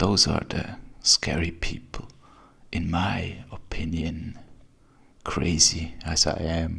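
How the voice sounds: A man is whispering at a very slow pace. He leaves long, frequent pauses.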